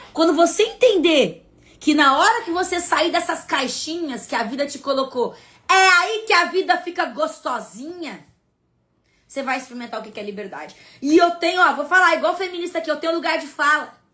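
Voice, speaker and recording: In a raised, projected voice with a bright, sharp tone, the speaker sounds stern and animated, using lively intonation and big swings in loudness, on a very clean recording against a silent background. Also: woman. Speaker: spiritual content creator. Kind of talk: live stream talk to followers. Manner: forceful, stern-sounding.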